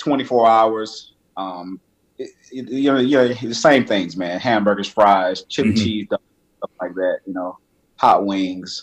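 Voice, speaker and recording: At a fairly slow pace, a man with an American accent talks at medium pitch with ordinary pitch variation. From US South, Miami. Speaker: fitness trainer. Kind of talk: casual interview chat. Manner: animated, conversational.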